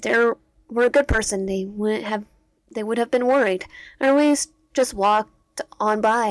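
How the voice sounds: The pitch moves in an ordinary way through a natural reading voice. Nothing is heard in the quiet background.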